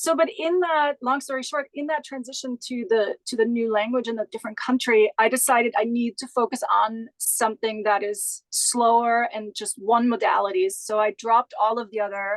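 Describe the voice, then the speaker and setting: Using a German accent, a woman with a fairly high pitch talks at a moderate pace with hardly any pauses and ordinary pitch variation, the sound dry and close with no echo. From Austria, Graz. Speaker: Pilates instructor and business founder. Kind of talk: interview.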